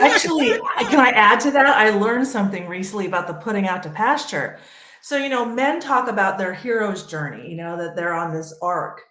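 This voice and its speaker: Lively intonation and big swings in loudness come at a fairly quick pace, with audible room echo and noticeable background noise. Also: woman, medium pitch for a woman. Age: 50s. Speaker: panel guest on women's health talk show. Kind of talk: panel discussion.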